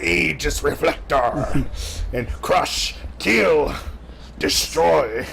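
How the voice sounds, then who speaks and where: In a put-on character voice, a man speaks at a very slow pace with long, frequent pauses over clear background noise. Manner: dramatic, exaggerated, menacing.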